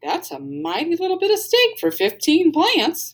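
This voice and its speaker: A woman puts on a character voice at an extremely high pitch. She speaks at a moderate pace. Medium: read story. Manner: cheerful, earnest.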